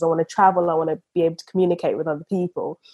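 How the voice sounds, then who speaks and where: A woman talks at a very fast pace. She has a British accent and a medium pitch. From England (came from Uganda aged four). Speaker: property investor and surveyor. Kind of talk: casual interview.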